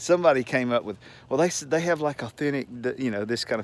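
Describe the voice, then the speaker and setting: A man speaks in an animated tone with a Southern US accent. His pitch varies in an ordinary way. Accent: Southern US drawl. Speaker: retiree. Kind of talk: casual talk to camera. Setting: outdoors. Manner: rambling, animated.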